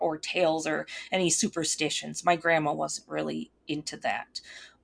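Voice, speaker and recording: Against a quiet background, a woman speaks with a Minnesotan accent. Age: 30s. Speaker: YouTuber and witch. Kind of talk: casual interview chat.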